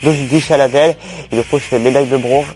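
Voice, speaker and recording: A man with a medium-pitched voice speaks over music playing in the background. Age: 20s. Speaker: table tennis coach, former deaf athlete. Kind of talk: interview answers. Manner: hesitant, many fillers.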